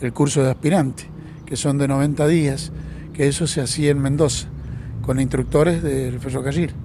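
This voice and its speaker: A man with fairly high pitch talks at a moderate pace, his intonation fairly even, while noticeable background noise and audible room echo fill the recording. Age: 60s. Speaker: retired train driver. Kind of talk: interview. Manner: halting, repeats words.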